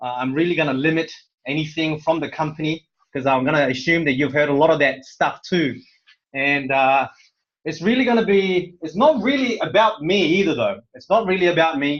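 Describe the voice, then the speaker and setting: Pitched fairly high, a man speaks at a fairly quick pace. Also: ordinary pitch variation. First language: Korean. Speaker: corporate presenter. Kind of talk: motivational talk on online call. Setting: online conference call. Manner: halting, many fillers.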